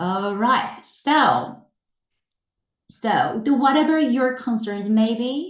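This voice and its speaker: Speaking very slowly with long, frequent pauses, a woman uses a high pitch and lively intonation. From South Korea. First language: Korean. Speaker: English teacher trainer. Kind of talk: webinar presentation. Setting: online webinar.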